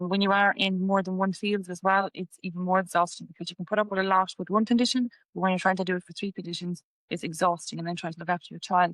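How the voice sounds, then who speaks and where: A woman with a western Irish accent talks very fast at a medium pitch. Her intonation is monotone and flat, and the sound is dry and close with no echo. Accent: Irish (west of Ireland). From Ireland, Galway. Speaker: patient sharing illness story. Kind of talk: testimony.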